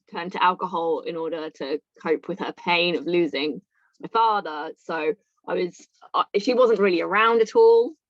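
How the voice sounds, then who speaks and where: A woman speaks with a southern English accent at a fairly low pitch. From England, near London. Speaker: recovering alcoholic. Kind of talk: interview testimony. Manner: halting.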